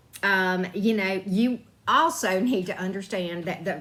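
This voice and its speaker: The speaker has a Southern US accent and ordinary pitch variation. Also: woman. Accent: Southern drawl. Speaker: tarot reader and spiritual YouTuber. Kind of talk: casual advice talk. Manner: conversational, frequent fillers.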